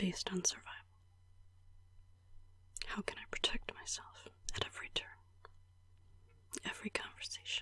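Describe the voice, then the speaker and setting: A woman whispers at a fairly quick pace, with long, frequent pauses. Noticeable background noise sits behind her. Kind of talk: ASMR personal video journal about mental health. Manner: whispered, soft-spoken.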